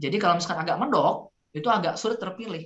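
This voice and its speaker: A woman with a Sundanese accent and a fairly low pitch. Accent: Sundanese accent, noticeable. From West Java (Sundanese). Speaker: public speaking trainer. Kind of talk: online workshop Q&A. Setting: Zoom video call.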